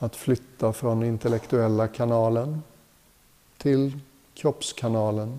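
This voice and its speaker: Calm and soothing, a man speaks at medium pitch in a dark, mellow tone with fairly even intonation, at a very slow pace with long, frequent pauses. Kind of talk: guided meditation. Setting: retreat hotel group session. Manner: slow, calm, soothing; gentle, unhurried, with long pauses.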